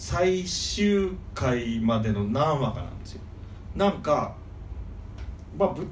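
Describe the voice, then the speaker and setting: Over noticeable background noise and audible room echo, a man talks with very wide pitch swings. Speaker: manga fan guest. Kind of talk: casual chat.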